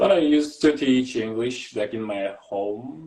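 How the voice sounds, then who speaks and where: With a Kazakh accent, a man speaks at a fairly slow pace in a dark, mellow tone. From Kazakhstan. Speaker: graduate student and English teacher. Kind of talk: casual interview. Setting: live video call. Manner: halting.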